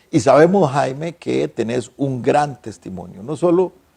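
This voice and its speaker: A man's plain, everyday voice with lively intonation at a fairly slow pace. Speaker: TV talk show host. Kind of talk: interview.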